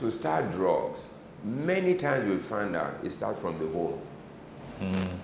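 Against noticeable background noise, a man with a Nigerian accent talks fairly slowly, pausing often and at length. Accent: Nigerian (Yoruba) English. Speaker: retired medical doctor, anti-drug ministry director; interview guest. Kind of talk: interview. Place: office. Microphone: lapel.

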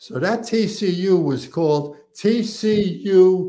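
A man in a New York accent, high-pitched yet dark and mellow in tone, with ordinary pitch variation and a very slow pace against a quiet background. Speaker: retired fire captain; podcast guest. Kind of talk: casual interview. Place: home room.

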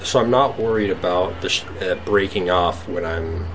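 Through noticeable background noise, a man talks at a fairly slow pace in a very deep, low voice with fairly even intonation. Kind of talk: casual vlog chat. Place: workshop. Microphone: phone near.

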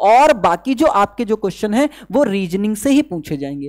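The sound is dry and close with no echo. A man with a high pitch talks at a moderate pace. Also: slightly mellow tone.

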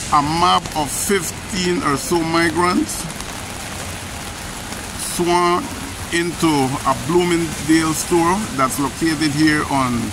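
With noticeable background noise, a man talks at a very slow pace in a dry sound with no echo. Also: fairly even intonation. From Belize. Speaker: channel host. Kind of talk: street news report to camera. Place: street. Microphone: phone near.

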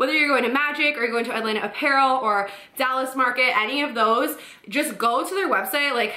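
A woman's raised, projected voice at a fairly quick pace, with ordinary pitch variation, a quiet background and audible room echo. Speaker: boutique owner vlogger. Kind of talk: casual vlog chat. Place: home room.

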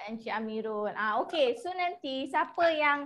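A woman with a high pitch talks over a quiet background. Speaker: webinar moderator. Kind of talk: casual chat. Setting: video call. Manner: chatty.

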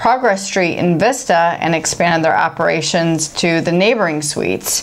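Fairly low in pitch, a woman speaks with an American accent. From Chicago, US Midwest. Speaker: beer review show co-host, baker; beer review show co-host. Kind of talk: casual beer-tasting chat; reading brewery history aloud.

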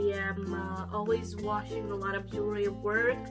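Clear music plays behind a woman as she speaks. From Romania. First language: Romanian. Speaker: beauty vlogger. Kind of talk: casual talk to camera. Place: home room. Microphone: camera far.

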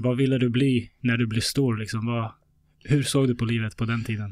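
At a moderate pace, a man speaks in a plain, everyday voice with fairly even intonation. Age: 30s. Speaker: podcast host. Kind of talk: interview conversation.

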